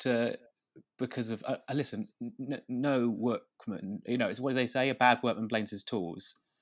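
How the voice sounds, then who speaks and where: At a moderate pace, a man with an unremarkable speaking voice talks at a medium pitch with ordinary pitch variation. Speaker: comedian. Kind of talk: comedic interview. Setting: video call from home.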